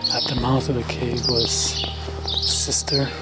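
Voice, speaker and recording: Music plays behind a man as he speaks. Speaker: travel vlogger. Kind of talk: reflective vlog monologue. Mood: calm, contemplative, slow. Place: open country. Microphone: phone near.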